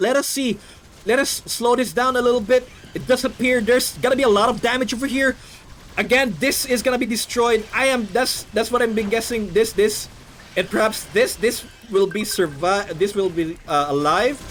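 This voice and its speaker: Over noticeable background noise, a man with a non-native accent speaks at an extremely high pitch, with ordinary pitch variation and a moderate pace. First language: not English. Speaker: game caster. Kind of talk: live commentary.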